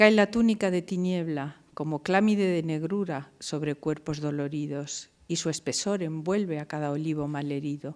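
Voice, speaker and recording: Over a silent background in a very clean recording, a woman speaks at a moderate pace with hardly any pauses. Her pitch is very deep and low, with ordinary variation. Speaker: university professor. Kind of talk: poetry reading.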